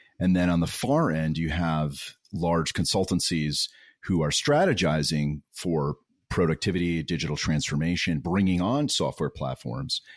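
A man with an American accent speaks at a very deep, low pitch with ordinary pitch variation and very even loudness. The recording is very clean with a silent background and a dry, close sound with no echo. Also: moderate pace. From New York area, US. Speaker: podcast co-host, services leader.

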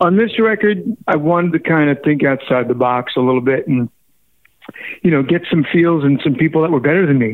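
Fairly quick and very even in loudness, this man's fairly high voice is an unremarkable speaking voice with ordinary pitch variation. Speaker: musician. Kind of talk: casual interview. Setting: phone call.

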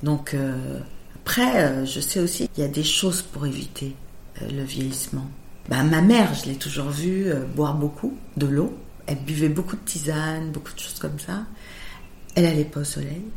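Against noticeable background noise and audible room echo, a woman with a very deep, low pitch speaks at a moderate pace with ordinary pitch variation and long, frequent pauses. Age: 50s. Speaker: makeup artist. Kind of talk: interview.

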